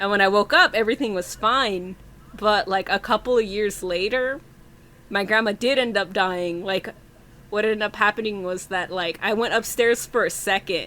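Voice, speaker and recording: With a Spanish accent, a woman speaks in a bright, sharp tone and ordinary pitch variation. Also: medium pitch for a woman, moderate pace. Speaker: podcast host. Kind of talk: casual chat.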